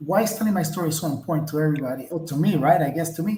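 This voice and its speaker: With audible room echo, a man talks in a high pitch with ordinary pitch variation. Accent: non-native. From outside the US, immigrated at twelve. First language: not English. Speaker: entrepreneur. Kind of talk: interview.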